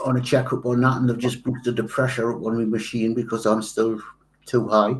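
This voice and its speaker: A man talks in a flat monotone at a medium pitch. His pace is fairly quick. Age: 60s. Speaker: model maker. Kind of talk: casual chat. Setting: live stream.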